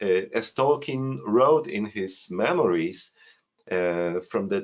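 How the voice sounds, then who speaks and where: The speaker talks at a very slow pace in a Polish accent, with very wide pitch swings. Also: man. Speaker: amateur genealogy researcher. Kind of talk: screen-share presentation. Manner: halting, many fillers.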